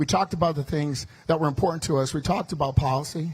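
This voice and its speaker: This man talks at a very fast pace with an American accent. His pitch is fairly high, with ordinary pitch variation. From US Midwest, Chicago. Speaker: politician. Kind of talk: campaign speech. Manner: loud.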